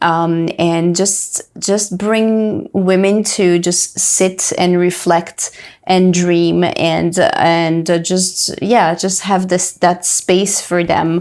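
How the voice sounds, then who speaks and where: A woman's fairly low voice at a very slow pace, very even in loudness, with hardly any pauses, monotone and flat in intonation, over noticeable background noise. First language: French. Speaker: entrepreneur and health coach. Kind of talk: interview. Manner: halting, many fillers.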